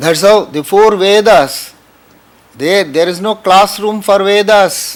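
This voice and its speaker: Talking at a very slow pace, a man with a Tamil Indian accent uses a high pitch and fairly even intonation. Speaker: spiritual teacher. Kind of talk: spiritual talk.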